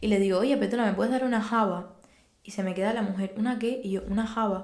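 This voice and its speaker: A woman talks at a very fast pace amid audible room echo and noticeable background noise. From Cuba. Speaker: podcast guest. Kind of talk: casual interview chat.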